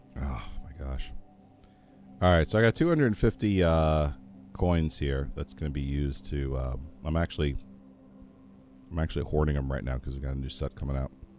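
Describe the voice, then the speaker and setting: Music plays behind a man with a very deep, low voice and ordinary pitch variation. He talks at a fairly quick pace but with long, frequent pauses. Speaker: game streamer. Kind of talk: gameplay commentary. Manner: casual, hesitant with fillers.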